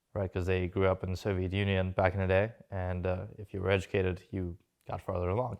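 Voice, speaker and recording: Over a quiet background, a man with a slight Russian accent talks at a very fast pace in a very deep, low voice with monotone, flat intonation. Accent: slight Russian accent with New York English. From Russia, moved to New York at 13. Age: 20s. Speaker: entrepreneur and stock trader. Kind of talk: casual interview.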